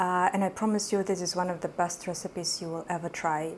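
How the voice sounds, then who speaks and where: A woman with a non-native accent speaks at a fairly low pitch with fairly even intonation. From Uzbekistan. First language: not English. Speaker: cooking YouTuber. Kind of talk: cooking tutorial. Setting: home kitchen. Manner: hesitant, many fillers.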